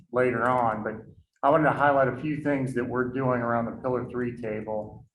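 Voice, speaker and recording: There is audible room echo around this voice. A man at medium pitch talks with fairly even intonation. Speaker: workforce board member. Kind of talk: committee meeting report. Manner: loud.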